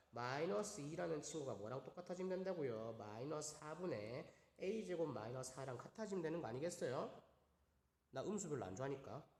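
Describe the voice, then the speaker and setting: A man talks fairly quickly at a fairly high pitch. Room echo is audible. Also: lively intonation. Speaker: math teacher. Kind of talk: online lecture. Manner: fast.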